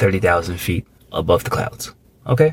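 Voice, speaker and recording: A man talks at a moderate pace with very wide pitch swings. His voice is somewhat breathy. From Thailand. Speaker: podcast co-host. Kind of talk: casual chat.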